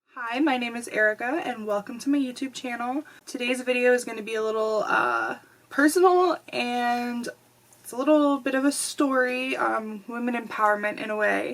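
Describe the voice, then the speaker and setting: A woman's high voice at a moderate pace with ordinary pitch variation, over noticeable background noise. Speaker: vlogger. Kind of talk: personal storytime vlog.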